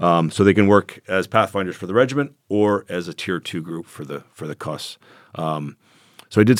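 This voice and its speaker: Recorded very cleanly against a silent background, with a dry, close sound and no echo, a man with a Canadian accent talks at a moderate pace in a very deep, low pitch. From Canada. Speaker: former legionnaire and military contractor. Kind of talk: interview storytelling.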